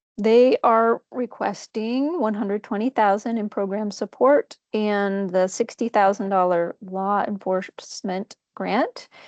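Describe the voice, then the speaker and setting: With a normal speaking voice, a woman at medium pitch talks at a fairly slow pace with ordinary pitch variation, the sound dry and close with no echo against a quiet background. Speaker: grant program coordinator presenting budgets. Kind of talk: board meeting presentation.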